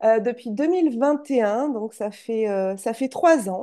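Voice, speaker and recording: A woman's normal speaking voice, fairly high in pitch with ordinary pitch variation, at a fairly slow pace over a quiet background. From France, Charente. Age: 40s. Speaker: entrepreneur, former school teacher. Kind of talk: interview.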